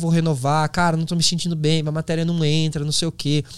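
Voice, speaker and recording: With music in the background, a man speaks at a very fast pace, his fairly high voice held to a monotone, flat intonation. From São Paulo, Brazil. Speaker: podcast host and former TV reporter. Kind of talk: casual interview conversation.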